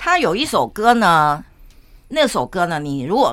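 Bright, sharp and animated, the voice has vocal fry and makes very wide pitch swings. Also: woman. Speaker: podcast host. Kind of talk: casual chat.

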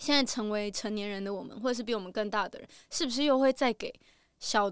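A woman's fairly high voice with ordinary pitch variation, very fast delivery, and a very clean recording over a silent background. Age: late 20s. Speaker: TV program planner. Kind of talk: casual interview chat.

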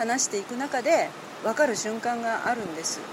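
A woman talks at a fairly high pitch. Noticeable background noise can be heard along with her. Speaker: journalist. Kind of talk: interview.

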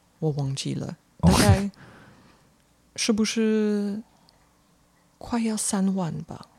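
Speaking with long, frequent pauses, a woman at medium pitch has a dark, mellow, somewhat breathy tone, ordinary pitch variation and big swings in loudness. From Belgium. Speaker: foreign guest living in Taiwan. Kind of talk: casual interview chat.

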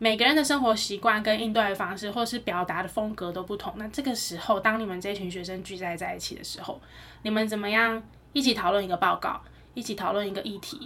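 A woman talks very fast in a bright, sharp tone, with ordinary pitch variation and big swings in loudness. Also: fairly high pitch for a woman. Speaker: podcast co-host. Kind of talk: casual chat.

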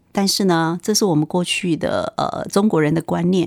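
A woman speaks at a medium pitch and moderate pace in a normal speaking voice, with ordinary pitch variation. The sound is dry and close with no echo, in a very clean recording with a silent background. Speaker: nurse. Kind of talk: interview.

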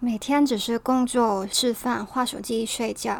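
Her voice high in pitch, a woman speaks at a fairly slow pace with fairly even intonation. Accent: Hong Kong. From Hong Kong. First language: Cantonese (speaking Chinese). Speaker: podcast host. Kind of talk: scripted podcast monologue.

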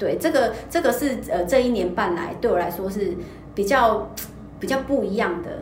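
Over noticeable background noise and audible room echo, a woman speaks with fairly high pitch and lively intonation. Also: moderate pace. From Taiwan, Kaohsiung. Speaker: fashion stylist. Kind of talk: casual chat. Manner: hesitant, many fillers.

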